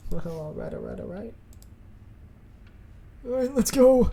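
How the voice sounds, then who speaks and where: A man puts on a gruff character voice, pitched high for a man, with big swings in loudness at a moderate pace. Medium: actual play. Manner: gruff, profane.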